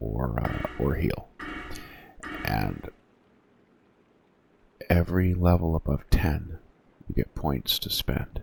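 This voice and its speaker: Over noticeable background noise, a soft-spoken man with a very deep, low pitch talks in a relaxed tone at a very slow pace. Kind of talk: ASMR-style soft-spoken gaming tutorial. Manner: soft-spoken, relaxed, with frequent filler words.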